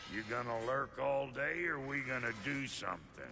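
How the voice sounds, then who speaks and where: In a put-on character voice with a Southern US accent, a man drawls at a moderate pace and medium pitch over clear background noise. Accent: American Southern-style drawl. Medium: video game. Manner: folksy, blunt, drawling.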